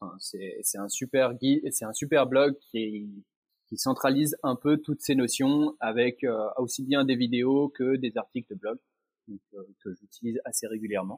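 In a plain, everyday voice, the speaker moves at a fairly slow pace with ordinary pitch variation and big swings in loudness, the sound dry and close with no echo. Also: man, medium pitch for a man. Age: 30s. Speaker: training project manager. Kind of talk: interview.

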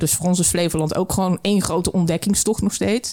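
A woman's fairly low voice at a fairly quick pace, with a dark, mellow tone and monotone, flat intonation. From southern Netherlands. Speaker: brewery co-founder. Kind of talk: casual interview. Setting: studio.

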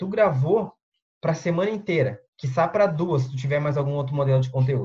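A man talks at a fairly quick pace. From southern Brazil, Porto Alegre metro area. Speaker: English teacher and online content creator. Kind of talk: casual interview on a live stream.

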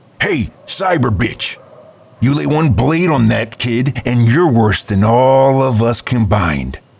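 A gruff man's voice at medium pitch, with lively intonation and a fairly slow pace. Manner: gruff, defiant bravado.

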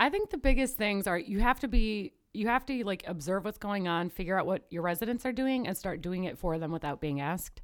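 On a very clean recording with a silent background, a woman with a normal speaking voice and medium pitch talks in an American accent. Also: lively intonation, fairly quick pace. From northern US. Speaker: medical student. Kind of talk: casual chat.

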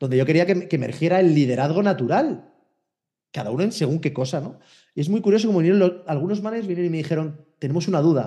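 A man with a Spanish accent speaks at a very fast pace. His voice is high-pitched for a man, with a dark, mellow tone. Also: ordinary pitch variation. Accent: Spanish (Spain). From Spain. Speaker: HR innovation consultant. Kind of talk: interview conversation.

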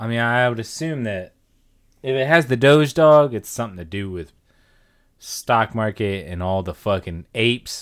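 In a very clean recording with a silent background, a man talks at a moderate pace in a normal speaking voice with lively intonation. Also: medium pitch for a man. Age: 30s. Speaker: podcast co-host. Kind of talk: casual chat.

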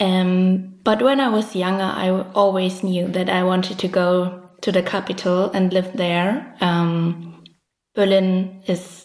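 With a German accent, a woman speaks at a fairly slow pace, her medium-pitched voice keeping fairly even intonation. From East Germany, Dresden. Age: 20s. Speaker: illustrator. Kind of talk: interview.

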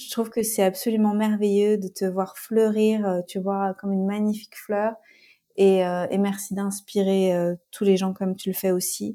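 At a fairly slow pace, a woman speaks in a dark, mellow tone with monotone, flat intonation. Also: medium pitch for a woman, very clean recording, silent background. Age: 30s. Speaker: life coach and trainer. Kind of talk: casual interview.

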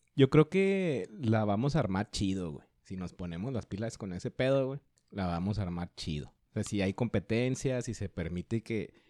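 Against a quiet background, a man speaks with a fairly low pitch in a dark, mellow tone. His intonation is lively. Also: moderate pace, dry, close sound with no echo. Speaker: podcast co-host, economist. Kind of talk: casual chat.

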